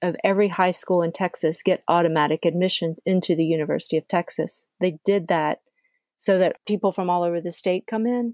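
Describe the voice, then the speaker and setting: In an American accent, a woman talks at medium pitch with a normal speaking voice and fairly even intonation. The recording is very clean, with a silent background and a dry, close sound with no echo. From US South, Georgia. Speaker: podcast host. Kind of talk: casual conversation.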